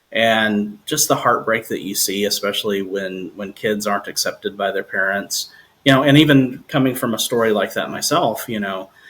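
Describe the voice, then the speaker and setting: A normal speaking voice talks at a moderate pace in an American accent. Its pitch varies in an ordinary way, with hardly any pauses. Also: man, medium pitch for a man. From New Jersey. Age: 40s. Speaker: singer-songwriter. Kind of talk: casual interview chat.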